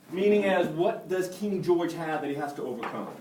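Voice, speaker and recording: Lively intonation comes through at a moderate pace over noticeable background noise and audible room echo. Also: man. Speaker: marketer, conference speaker. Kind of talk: conference presentation.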